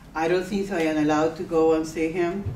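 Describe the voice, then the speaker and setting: In a Spanish accent, a woman with a very deep, low pitch speaks at a moderate pace in a monotone, flat intonation, with audible room echo and noticeable background noise. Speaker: radio host. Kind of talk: interview.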